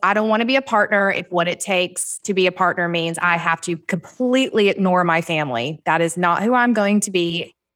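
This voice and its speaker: A woman talks fairly quickly with a Southern US accent, hardly pausing at all. Her medium-pitched voice holds a very even loudness in a very clean recording with a silent background. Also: ordinary pitch variation. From US South. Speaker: real estate agent and business owner. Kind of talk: casual podcast interview.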